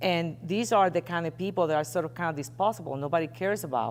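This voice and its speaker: Speaking at a fairly quick pace, a woman with a Puerto Rican accent uses lively intonation and a fairly low pitch. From Puerto Rico. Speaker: investigative journalist and editor. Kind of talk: interview on stage. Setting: stage with audience. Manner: conversational, with fillers.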